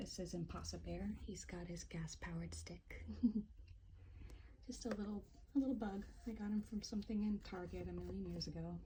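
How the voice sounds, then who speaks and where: The speaker is soft-spoken and talks fairly quickly. Long, frequent pauses break up the speech. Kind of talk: ASMR tapping and soft-spoken show-and-tell. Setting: home apartment, filming at home.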